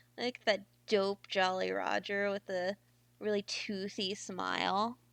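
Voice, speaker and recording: This is a woman's voice, dry and close with no echo, on a very clean recording with a silent background. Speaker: streamer reading books aloud. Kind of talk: casual chat before reading aloud. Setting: live stream. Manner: stumbles over words.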